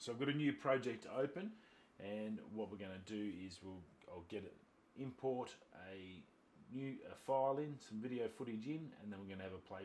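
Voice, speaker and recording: Speaking at a medium pitch, a man lets it vary in an ordinary way. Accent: Australian. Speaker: YouTube tutorial creator, photographer. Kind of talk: tutorial. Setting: screen recording at laptop. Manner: casual, informal.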